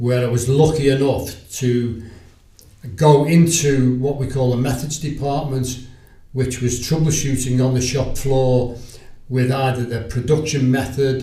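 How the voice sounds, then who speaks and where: A man with a Liverpool accent talks in a room with an audible echo. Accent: Liverpool (Scouse). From Liverpool, England. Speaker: sales agent. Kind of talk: podcast interview.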